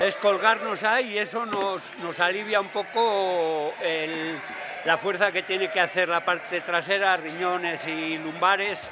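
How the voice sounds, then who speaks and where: Over noticeable background noise, a man with a high pitch speaks in a raised, projected voice at a fairly slow pace with fairly even intonation. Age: 60s. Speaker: sheep shearer and mattress maker. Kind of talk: casual explanation while working. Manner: halting.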